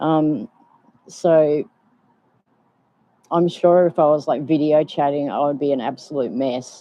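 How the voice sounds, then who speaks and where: With an Australian accent, the speaker talks at a fairly slow pace, leaving long, frequent pauses. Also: woman, very deep, low pitch for a woman. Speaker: vlogger. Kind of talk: casual live stream chat. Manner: hesitant, many ums.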